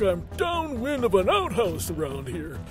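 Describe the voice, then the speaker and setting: A man performs a put-on character voice. Music plays clearly in the background. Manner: smug, magnanimous; mocking, pompous, florid.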